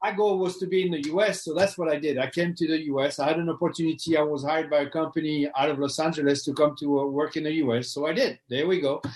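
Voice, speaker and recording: The speaker goes at a very fast pace with hardly any pauses. The intonation stays fairly even, with a French accent. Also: man, fairly high pitch for a man. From France. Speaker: knife sharpening business owner. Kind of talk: interview. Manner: halting, repeats words.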